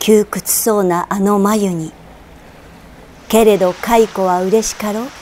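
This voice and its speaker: A woman with a medium-pitched voice talks very slowly over noticeable background noise. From Tokyo. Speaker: actress. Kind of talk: poetry reading.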